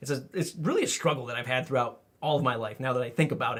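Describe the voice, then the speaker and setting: A man with a normal speaking voice talks at a fairly quick pace, his pitch varying in an ordinary way. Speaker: YouTuber and marketing content creator. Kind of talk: casual vlog monologue. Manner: conversational with filler words.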